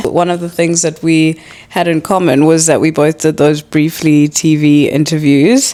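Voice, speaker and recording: Against noticeable background noise, a woman with a very deep, low pitch talks at a moderate pace, her loudness very even and her intonation fairly even. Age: 30s. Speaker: podcast host. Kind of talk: casual chat.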